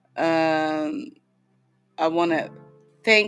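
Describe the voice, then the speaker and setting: Music is playing in the background. Over it, a woman talks. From Netherlands. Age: 60s. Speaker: livestream host, sound healer. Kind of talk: casual livestream chat. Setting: live stream. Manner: halting.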